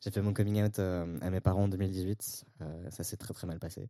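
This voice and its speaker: Speaking at a moderate pace, a man with a dark, mellow tone comes through with a dry, close sound with no echo on a very clean recording with a silent background. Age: 20s. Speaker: sociology student. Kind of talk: casual chat.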